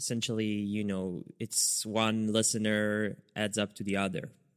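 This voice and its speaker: In a very clean recording with a silent background, a man with an Israeli accent talks very slowly at a medium pitch. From Israel, near Netanya. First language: Hebrew. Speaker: podcast host. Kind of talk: casual chat.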